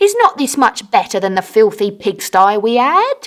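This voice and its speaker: A female-sounding, put-on character voice is raised and projected at a fairly high pitch and a moderate pace. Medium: read story. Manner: bossy, demanding.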